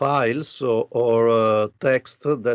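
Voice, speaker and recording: In an Italian accent, a man speaks at a very slow pace with a medium pitch and fairly even intonation. The sound is dry and close with no echo, over a quiet background. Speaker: architecture professor. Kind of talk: lecture. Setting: video call. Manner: halting, many fillers.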